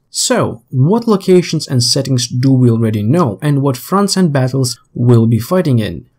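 A somewhat breathy voice at a moderate pace, with very wide pitch swings, on a very clean recording with a silent background. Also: man. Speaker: gaming YouTuber. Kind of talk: scripted narration.

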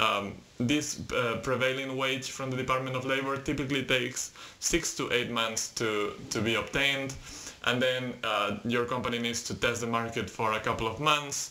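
At a moderate pace, a man talks with monotone, flat intonation. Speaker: presenter. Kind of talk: tutorial. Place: home room. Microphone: webcam.

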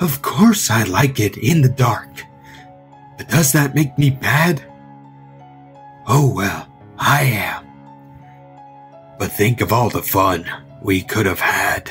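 A man's put-on character voice at medium pitch, fairly slow, with clear music in the background. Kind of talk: creepypasta horror poem reading. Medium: read story. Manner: taunting, menacing, mock-sweet.

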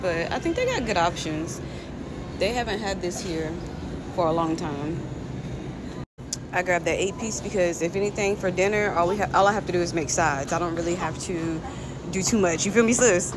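A woman talking at a fairly quick pace, with ordinary pitch variation and noticeable background noise. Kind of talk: casual vlog chat. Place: shop. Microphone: phone near.

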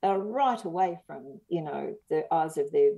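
In an Australian accent, a woman talks at a fairly slow pace with ordinary pitch variation. Her tone is dark and mellow. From Australia, rural Victoria. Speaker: historian and author. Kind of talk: interview. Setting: podcast interview.

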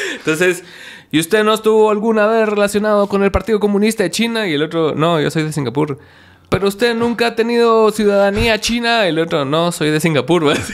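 A man's high-pitched voice at a fairly quick pace, with ordinary pitch variation. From Guatemala. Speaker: podcast host. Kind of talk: casual chat; interview answer. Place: studio. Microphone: studio mic.

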